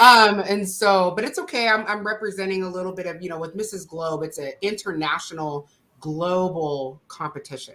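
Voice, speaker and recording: With an American accent, the speaker uses an animated tone at a moderate pace, leaving hardly any pauses and swinging widely in loudness. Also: woman, medium pitch for a woman, ordinary pitch variation. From United States. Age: 40s. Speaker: talk show host. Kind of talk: casual interview.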